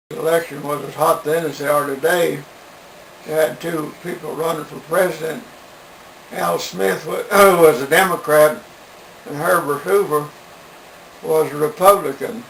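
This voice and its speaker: Amid noticeable background noise, a man with an American accent talks at a moderate pace with ordinary pitch variation, big swings in loudness, and long, frequent pauses. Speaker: elderly man recalling the Depression era. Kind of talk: interview answer.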